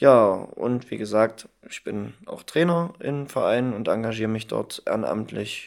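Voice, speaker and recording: A man talks fairly slowly, and his loudness swings a lot. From Saxony-Anhalt, Germany (Halberstadt). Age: 20s. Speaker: insurance trainee. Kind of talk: casual chat.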